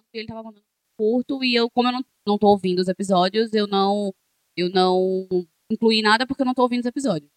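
Talking at a very fast pace, a woman has a fairly high pitch and ordinary pitch variation. Her loudness swings widely. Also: dry, close sound with no echo. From Pernambuco, Brazil (Janga, Recife area). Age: 30s. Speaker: podcast co-host. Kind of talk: casual chat.

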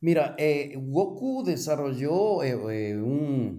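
A man's fairly high voice, dark and mellow in tone, with audible room echo. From Ecuador. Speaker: cooperative finance executive. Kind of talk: interview. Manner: halting.

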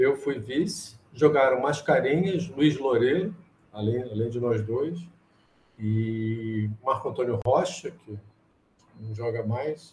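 A man with a medium-pitched voice speaks at a very slow pace. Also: ordinary pitch variation. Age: 60s. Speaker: chess problem solver. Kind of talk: interview. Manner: halting.

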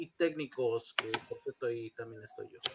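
Fairly high in pitch for a man, his voice, an unremarkable speaking voice, shows ordinary pitch variation. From Mexico, León (born in Monterrey). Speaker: independent wrestler. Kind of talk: interview. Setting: studio.

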